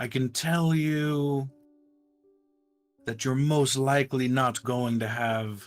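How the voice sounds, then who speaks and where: A man uses a put-on character voice at a medium pitch and a very slow pace, with long, frequent pauses. Faint music plays in the background. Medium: actual play. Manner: measured, skeptical.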